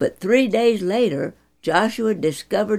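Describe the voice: Ordinary pitch variation in plain reading aloud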